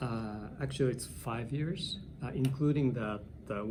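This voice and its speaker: With a Japanese accent, a man talks at a moderate pace. Audible room echo and noticeable background noise are present. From Japan, Hiroshima. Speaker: English teacher. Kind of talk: interview. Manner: halting.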